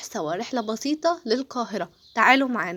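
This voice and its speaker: Speaking with an Egyptian accent, a woman uses a fairly high pitch and lively intonation. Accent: Egyptian Arabic, clearly audible. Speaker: travel vlogger. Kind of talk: casual travel vlog narration. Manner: chatty, hesitant fillers.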